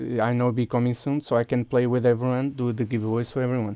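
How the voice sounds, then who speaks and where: Dry and close with no echo, a man's medium-pitched voice carries a dark, mellow tone at a moderate pace. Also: very clean recording, silent background. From Portugal. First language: Portuguese. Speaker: video game streamer. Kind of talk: live gameplay stream chat. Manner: halting, many fillers and restarts.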